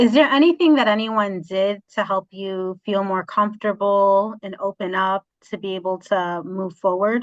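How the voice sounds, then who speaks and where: In an unremarkable speaking voice, a woman talks at medium pitch and a moderate pace with ordinary pitch variation and hardly any pauses, the sound dry and close with no echo. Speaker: interview host. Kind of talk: interview question.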